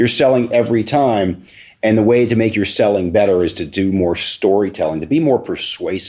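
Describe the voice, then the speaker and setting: Using an ordinary speaking voice, a man talks at a fairly quick pace with an American accent. His pitch is fairly low, with ordinary variation. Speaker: real estate research executive. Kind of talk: interview.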